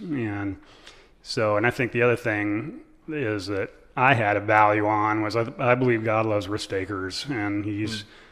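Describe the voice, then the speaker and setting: Against a quiet background, a man with a fairly low voice talks at a moderate pace, his intonation fairly even. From US Midwest, central Nebraska. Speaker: ministry founder and pastor. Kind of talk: casual interview.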